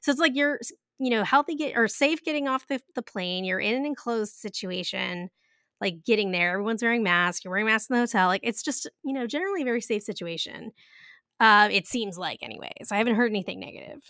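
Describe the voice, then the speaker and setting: Fast-talking woman at a fairly high pitch, animated tone, lively intonation, bright and sharp, dry and close with no echo, on a very clean recording with a silent background. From grew up in an Italian-American home. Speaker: podcast co-host. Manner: animated, laughing often.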